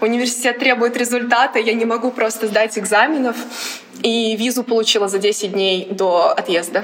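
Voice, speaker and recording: Over noticeable background noise, a woman speaks at a moderate pace with a fairly high pitch, fairly even intonation and very even loudness. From Latvia, Riga. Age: 20s. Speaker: college athlete. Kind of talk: casual chat.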